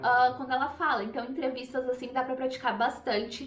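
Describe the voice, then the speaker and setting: A woman with a Brazilian accent speaks at a very fast pace and a high pitch. There is audible room echo and noticeable background noise. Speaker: language teacher. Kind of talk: tutorial. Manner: casual, with hesitations.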